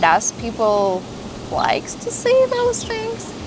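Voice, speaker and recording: Audible room echo and noticeable background noise surround a woman's voice. She speaks at a very slow pace with ordinary pitch variation. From Moldova. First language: Romanian. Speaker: florist vlogger. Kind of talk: casual vlog talk to camera. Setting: outdoors on home patio.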